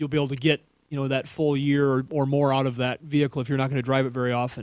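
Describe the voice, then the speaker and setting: In an American accent, a man talks at a very fast pace with a fairly high pitch. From Minnesota. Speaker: auto repair show co-host. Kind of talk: call-in radio advice.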